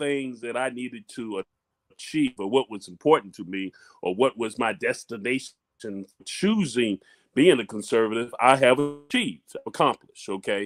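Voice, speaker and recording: At a moderate pace with ordinary pitch variation, a plain, everyday voice comes through in a dry, close sound with no echo. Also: man. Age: 60s. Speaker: talk show co-host. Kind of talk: casual political discussion.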